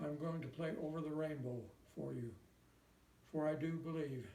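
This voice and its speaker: Dark, mellow tone with an American accent, somewhat breathy, fairly even in intonation, with audible room echo. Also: man. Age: 90s. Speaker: war veteran. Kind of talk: recorded personal message.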